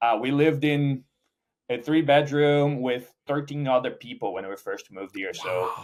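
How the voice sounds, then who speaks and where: A man speaks with a Portuguese accent at a moderate pace. His pitch is fairly high, with ordinary pitch variation. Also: big swings in loudness. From Brazil. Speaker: startup founder and CEO. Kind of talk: interview. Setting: conference.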